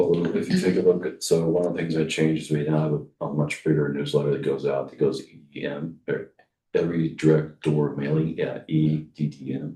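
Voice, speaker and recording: A man with a very deep, low voice and a dark, mellow tone talks fairly quickly in a flat monotone, his loudness swinging widely. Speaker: city manager. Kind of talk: committee meeting presentation. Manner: fast.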